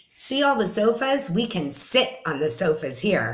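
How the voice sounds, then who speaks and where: A woman's put-on character voice, raspy, medium in pitch, with very wide pitch swings. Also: moderate pace. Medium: read story. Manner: relaxed, self-assured.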